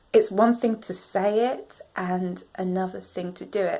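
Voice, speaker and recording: A woman talks very slowly in a British accent. Her tone is dark and mellow. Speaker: self-help vlogger. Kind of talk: motivational vlog talk.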